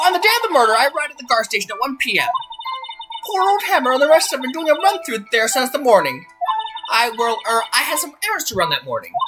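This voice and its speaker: A man puts on a character voice, pitched extremely high and delivered at a very fast pace. Faint music plays in the background. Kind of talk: fan dub of a game. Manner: rambling, flirtatious.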